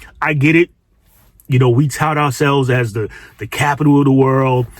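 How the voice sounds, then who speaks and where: Fairly even intonation at a fairly quick pace. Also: man. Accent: New York. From New York City. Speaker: social commentary youtuber. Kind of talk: commentary monologue. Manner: casual, with frequent repetitions and fillers.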